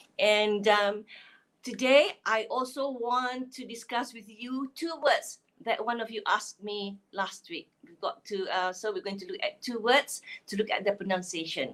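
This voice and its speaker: A woman speaks in a Malaysian accent at a fairly slow pace. Her fairly high pitch carries lively intonation. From Malaysia, Kelantan. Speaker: phonics teacher. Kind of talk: live online lesson. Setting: Facebook live stream. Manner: hesitant, many fillers.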